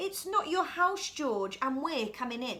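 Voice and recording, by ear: A woman's put-on character voice, high and bright, sharp in tone, with big pitch swings at a fairly slow pace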